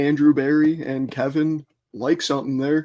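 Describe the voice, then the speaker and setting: With an American accent, a man speaks at a moderate pace in a fairly high pitch. His tone is dark and mellow against a quiet background. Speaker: sports podcast co-host. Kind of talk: casual sports talk.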